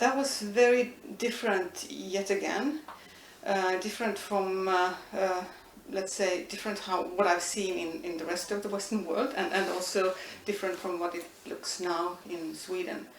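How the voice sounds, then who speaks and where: A woman with an Estonian accent speaks at a moderate pace and medium pitch with ordinary pitch variation, with audible room echo and noticeable background noise. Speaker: linguistics professor. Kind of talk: interview. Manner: hesitant, many fillers.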